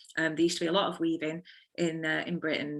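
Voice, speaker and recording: A woman with a Liverpool accent speaks at a fairly low pitch in a bright, sharp tone. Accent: Liverpool (Scouse). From Liverpool, England. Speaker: textile designer and weaver. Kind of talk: online careers talk. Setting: video call.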